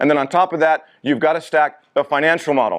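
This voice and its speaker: A man with a fairly high pitch and an animated tone at a very fast pace, against a quiet background. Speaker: business presenter. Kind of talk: live presentation to audience. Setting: stage with audience.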